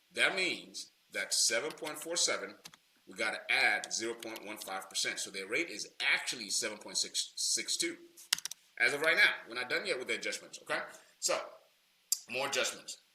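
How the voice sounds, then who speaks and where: Long, frequent pauses break up a man's speech, and his loudness swings widely. Background noise is noticeable. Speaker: loan broker trainer. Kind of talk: tutorial. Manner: fast; casual, many fillers.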